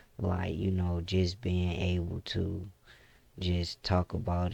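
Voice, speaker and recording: In a very clean recording with a silent background, a man speaks very slowly in a very deep, low voice, relaxed and dark, mellow in tone, with flat, monotone intonation. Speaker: gaming YouTuber. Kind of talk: casual gameplay commentary. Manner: mellow, relaxed.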